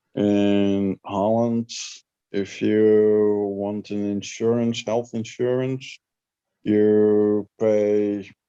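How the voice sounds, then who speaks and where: A man with a dark, mellow tone and fairly low pitch speaks very slowly in a monotone, flat intonation against a quiet background. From Netherlands. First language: Dutch. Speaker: livestream guest. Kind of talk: casual chat.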